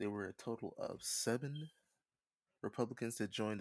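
Recorded very cleanly with a silent background and a dry, close sound with no echo, a man with an American accent talks with ordinary pitch variation. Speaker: podcast host. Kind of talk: casual chat. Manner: fast talker.

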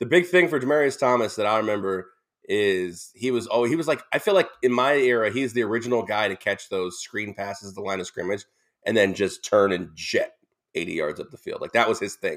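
In a very clean recording with a silent background, a man uses a plain, everyday voice at medium pitch, speaking fairly quickly with lively intonation. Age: 30s. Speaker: sports radio co-host. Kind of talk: casual sports talk.

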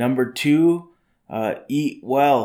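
A man's voice moves up and down in an ordinary way, captured in a very clean recording against a silent background. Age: 30s. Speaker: podcast host, lifestyle entrepreneur. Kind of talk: casual monologue. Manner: halting, many fillers.

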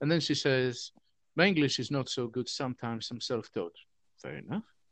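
A man's medium-pitched voice with a fairly bright tone and ordinary pitch variation. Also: moderate pace.

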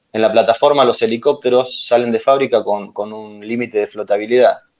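Speaking with an Argentine accent, a man talks at a fairly quick pace and a medium pitch. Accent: Rioplatense Argentine Spanish. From Argentina, Ensenada (Buenos Aires province). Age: 40s. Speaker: chef. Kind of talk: interview.

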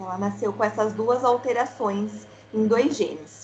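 A woman with a fairly high pitch talks while noticeable background noise carries on behind her. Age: 20s. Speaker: mother of child with kidney disease. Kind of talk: casual chat.

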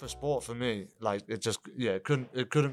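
A man with a New Zealand accent at a fairly quick pace, with ordinary pitch variation, on a very clean recording with a silent background. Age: 20s. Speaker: professional MMA fighter. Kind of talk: casual chat.

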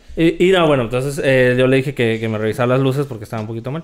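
Noticeable background noise fills the recording. A man is talking. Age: 20s. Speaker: comedy podcast co-host. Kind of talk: casual comedic chat.

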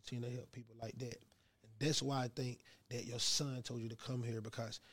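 A man's somewhat breathy voice at a very fast pace. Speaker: podcast host and rapper. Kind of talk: interview. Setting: studio. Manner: animated.

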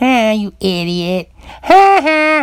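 A put-on character voice, fairly high in pitch, with very wide pitch swings. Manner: mocking, jeering; laughing at someone.

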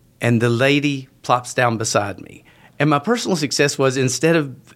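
A man at medium pitch with an American accent, moderate in pace, on a very clean recording with a silent background. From West Virginia. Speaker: advertising copywriter. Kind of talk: casual interview. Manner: halting, repeats words.

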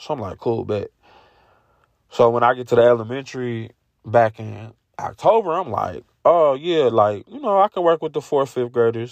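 Animated in tone, a man speaks at a fairly quick pace. The sound is dry and close with no echo, over a quiet background. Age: 30s. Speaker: podcast host and youth mentor. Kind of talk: casual solo monologue.

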